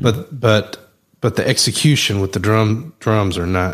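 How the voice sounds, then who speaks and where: In a Southern US accent, the voice shows ordinary pitch variation. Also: man. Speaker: podcast host. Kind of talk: casual chat.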